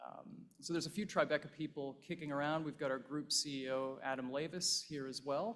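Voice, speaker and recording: A man with a Canadian accent, a normal speaking voice and fairly even intonation. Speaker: investment fund partner. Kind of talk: conference speech. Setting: stage with audience.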